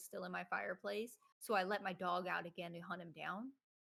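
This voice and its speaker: A woman with a Southern US accent speaks in a shaky, medium-pitched voice with vocal fry and fairly even intonation. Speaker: streamer and content creator. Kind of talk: casual chat. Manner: shaky voice.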